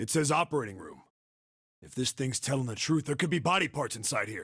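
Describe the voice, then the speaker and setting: A man puts on a raspy character voice at a fairly high pitch, speaking at a fairly quick pace with lively intonation. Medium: video game. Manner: gruff, blunt.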